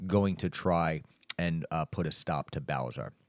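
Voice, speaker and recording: A man's voice, dry and close with no echo, on a very clean recording against a silent background. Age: 40s. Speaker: podcast host. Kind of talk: casual chat. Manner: halting.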